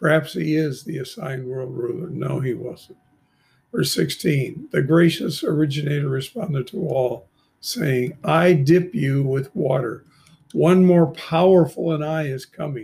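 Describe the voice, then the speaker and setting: Somewhat breathy and fairly high-pitched, a man talks at a fairly slow pace with ordinary pitch variation. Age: 80s+. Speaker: bible teacher and translator. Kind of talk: scripture reading with commentary.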